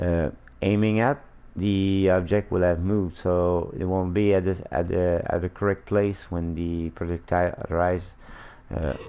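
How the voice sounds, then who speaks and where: A man speaks at a fairly slow pace with a non-native accent and a very deep, low pitch. His intonation stays fairly even. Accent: non-native English, slurred-sounding. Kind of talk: casual game-dev livestream tutorial. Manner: hesitant, many fillers.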